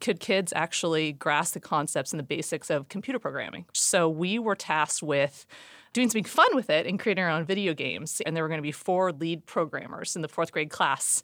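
A woman with an American accent speaks at a fairly quick pace with hardly any pauses. Hers is a plain, everyday voice, fairly low in pitch, with ordinary pitch variation. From US Pacific Northwest, Seattle. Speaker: retail sustainability executive. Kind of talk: interview.

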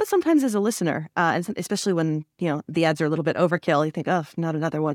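A woman at a fairly low pitch with ordinary variation, talking at a very fast pace, in a very clean, dry, close recording with a silent background and no echo. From Canada. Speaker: podcast host. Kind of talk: interview.

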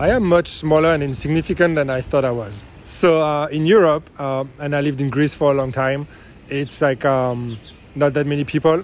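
A man talks at a moderate pace. His voice is fairly high, with ordinary pitch variation. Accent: French. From France. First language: French. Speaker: interviewee. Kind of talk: casual interview. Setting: coffee shop.

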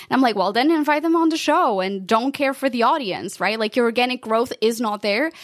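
A woman speaks with a Portuguese accent. Her tone is animated and her intonation lively. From Portugal. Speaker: podcast consultant. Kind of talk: interview.

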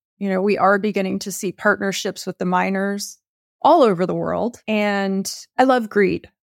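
In a dry, close sound with no echo on a very clean recording with a silent background, a woman with an American accent uses an ordinary speaking voice at a medium pitch and a moderate pace. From Texas. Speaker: bank executive and bitcoin expert. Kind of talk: interview.

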